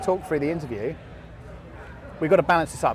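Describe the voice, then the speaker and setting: A man with a southern English accent speaks in a high voice. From England. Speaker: podcast host interviewing guests at an event. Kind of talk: casual live interview. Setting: live event floor. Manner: animated, chatty.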